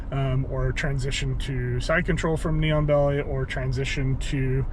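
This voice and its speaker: A man talks at a moderate pace with very even loudness. The room echo is audible, and there is noticeable background noise. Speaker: YouTuber and jiu-jitsu hobbyist. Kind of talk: casual chat. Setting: in a car. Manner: halting, many fillers.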